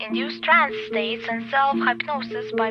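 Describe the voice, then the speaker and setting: A woman talks rather slowly while music plays behind her. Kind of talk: ominous narration practice of a script about cult leadership.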